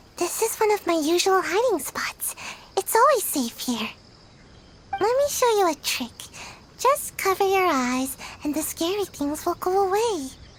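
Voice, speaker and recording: A woman uses a put-on character voice, squeaky and at an extremely high pitch with very wide pitch swings. She keeps a moderate pace and takes long, frequent pauses. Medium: fan dub.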